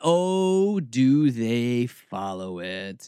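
An animated man with an American accent swings his pitch very widely. The recording is very clean, with a silent background. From US South (Atlanta area). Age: 40s. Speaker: radio host. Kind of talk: radio talk show monologue. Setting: radio studio. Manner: sarcastic, animated.

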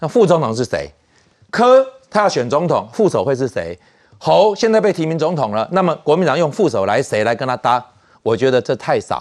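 A man's fairly high voice with vocal fry and very wide pitch swings, fairly quick, against a quiet background. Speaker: political commentator. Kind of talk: political talk show.

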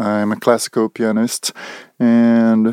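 A man with a Brazilian accent speaks very slowly at a medium pitch, the sound dry and close with no echo. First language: Portuguese. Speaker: portrait photographer. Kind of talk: casual interview. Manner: halting.

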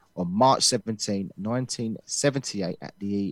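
A man uses an ordinary speaking voice at a fairly low pitch and moderate pace, in a dry, close sound with no echo and a very clean recording with a silent background. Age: 30s. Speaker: boxing podcast co-host. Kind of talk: scripted narration.

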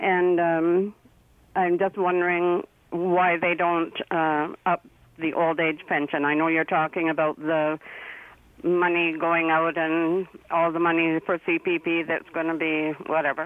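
Speaking fairly slowly, a woman with a fairly low voice holds a flat monotone at very even loudness. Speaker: caller, retiree. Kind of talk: radio call-in.

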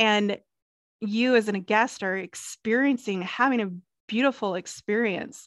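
A woman's unremarkable speaking voice, fairly high in pitch, with an American accent, a fairly slow pace and fairly even intonation, dry and close with no echo against a quiet background. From US South, South Carolina. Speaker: hospitality interior designer. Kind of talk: casual interview chat.

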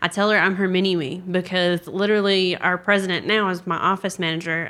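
A woman speaks with a Southern US accent. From South Carolina, US South. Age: 20s. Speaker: paralegal. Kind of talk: casual interview. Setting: recorded at a conference.

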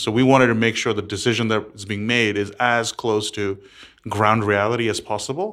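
Medium-pitched man with an American accent at a fairly quick pace, with ordinary pitch variation, in a very clean recording with a silent background. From several countries, third culture upbringing. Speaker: startup founder and CEO. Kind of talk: interview.

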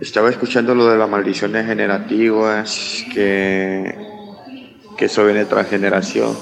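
A man with a Honduran accent, fairly low pitch and monotone, flat intonation, at a fairly slow pace and very even loudness, amid noticeable background noise. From Honduras. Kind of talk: recorded viewer question.

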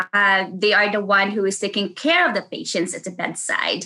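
A woman with a Filipino accent speaks at a fairly high pitch in a bright, sharp tone. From Philippines (Davao City). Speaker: nurse. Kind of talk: interview. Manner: halting.

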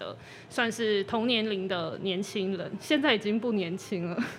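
With an ordinary speaking voice, a woman talks at a medium pitch and moderate pace with ordinary pitch variation. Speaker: magazine editor-in-chief. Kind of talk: casual interview. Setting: live podcast recording.

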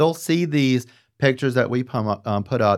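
The background is silent and the recording very clean. A man talks at a moderate pace. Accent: Southern US. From US South. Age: 50s. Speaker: podcast host, designer. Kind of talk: casual interview. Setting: studio.

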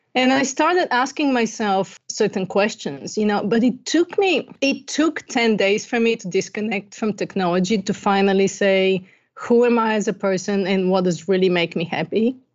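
Speaking at a moderate pace with hardly any pauses, a woman with a Bulgarian accent keeps a medium pitch and lively intonation. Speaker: life coach. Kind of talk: interview.

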